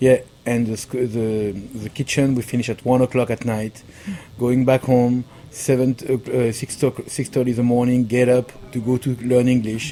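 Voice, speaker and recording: A man with a strong French accent speaks at a moderate pace in a medium pitch, his intonation flat and monotone, over noticeable background noise. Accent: thick French. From France. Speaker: pastry chef. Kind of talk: interview. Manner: halting.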